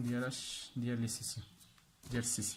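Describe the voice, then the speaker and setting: A man with a Moroccan accent. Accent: Moroccan Darija with French terms. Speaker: accounting teacher. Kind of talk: tutorial.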